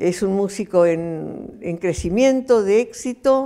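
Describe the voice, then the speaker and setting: A woman speaks at a very slow pace, her tone dark and mellow at a medium pitch. Her intonation is lively. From Argentina. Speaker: human rights activist. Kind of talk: interview answer. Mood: calm, earnest. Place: home room. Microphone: lapel.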